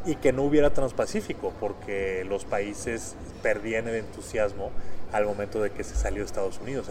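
With lively intonation, a man talks at a fairly quick pace over noticeable background noise. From Monterrey, northern Mexico. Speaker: former trade official and negotiator. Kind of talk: interview conversation.

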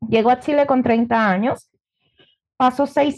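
A woman with a Venezuelan accent speaks at a fairly slow pace in a high pitch with a dark, mellow tone and fairly even intonation. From Venezuela, Margarita Island. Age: 30s. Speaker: entrepreneur and former lawyer. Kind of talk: interview.

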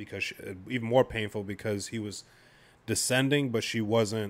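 A man speaks in an unremarkable speaking voice, his medium pitch and fairly even intonation carried at a moderate pace. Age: 30s. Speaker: new parent. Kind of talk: casual chat.

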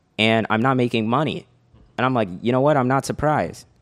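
With a very clean recording and silent background, a man talks in a normal speaking voice at a fairly quick pace with ordinary pitch variation. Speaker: podcast co-host, entrepreneur. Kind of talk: casual chat.

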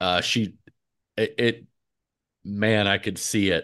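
A man with a plain, everyday voice and fairly low pitch. His pitch varies in an ordinary way over a quiet background. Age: 40s. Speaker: podcast host. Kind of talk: casual chat.

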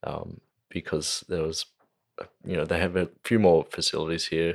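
Fairly quick speech from a man, captured in a very clean recording with a silent background. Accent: Australian. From Australia, Central Coast NSW. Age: young. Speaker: musician. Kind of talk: casual chat. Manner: halting.

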